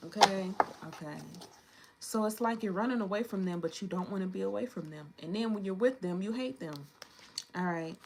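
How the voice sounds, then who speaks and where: A woman speaks at a medium pitch with ordinary pitch variation, leaving long, frequent pauses. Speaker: tarot reader. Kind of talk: tarot reading. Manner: fast; casual.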